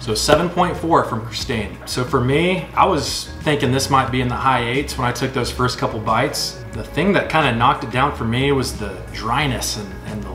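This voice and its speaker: Clear music plays in the background as a man speaks with hardly any pauses. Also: moderate pace. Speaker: food reviewer. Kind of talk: casual vlog chat. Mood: relaxed, cheerful. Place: home room. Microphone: camera far.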